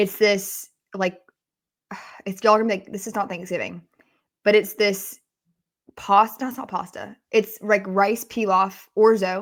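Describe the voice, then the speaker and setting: Long, frequent pauses break up a woman's speech. Her pitch is medium and her intonation monotone and flat. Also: moderate pace, big swings in loudness. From Atlanta, Georgia. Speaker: sports podcast host. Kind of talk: casual chat.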